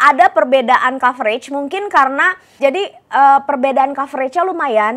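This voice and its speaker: A woman talks at a fairly quick pace with a high pitch. The background is quiet. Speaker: beauty vlogger. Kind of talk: product review. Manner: casual, filler-heavy. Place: home room. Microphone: new microphone, sounds tinny; lapel.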